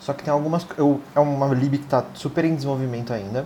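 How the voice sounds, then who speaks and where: A man's plain, everyday voice at a moderate pace with ordinary pitch variation. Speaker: Android developer. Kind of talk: casual tech podcast chat.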